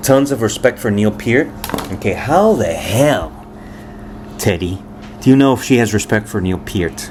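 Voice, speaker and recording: Over noticeable background noise, the man's tone comes across as animated. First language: Spanish. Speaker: musician and commentator. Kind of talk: reacting to viewer comments. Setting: home with family present.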